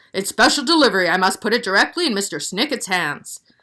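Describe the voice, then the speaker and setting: Using a put-on character voice, a woman races along at a very fast pace with very wide pitch swings. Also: medium pitch for a woman. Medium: read story. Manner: formal.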